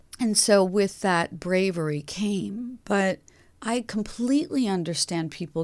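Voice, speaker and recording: A woman with an American accent, a normal speaking voice with lively intonation at a fairly slow pace, on a very clean recording with a silent background. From upstate New York. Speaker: clairvoyant coach. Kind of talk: interview.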